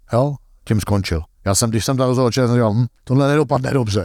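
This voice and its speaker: On a very clean recording with a silent background, a man speaks at medium pitch in a plain, everyday voice. The sound is dry and close with no echo, and his pitch variation is ordinary. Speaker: golf coach and analyst. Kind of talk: interview.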